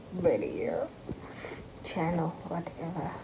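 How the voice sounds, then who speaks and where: A woman is speaking against noticeable background noise. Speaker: expectant mother vlogger. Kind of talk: casual vlog chat. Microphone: phone near.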